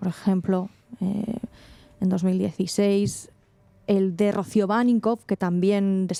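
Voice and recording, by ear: A passage read out naturally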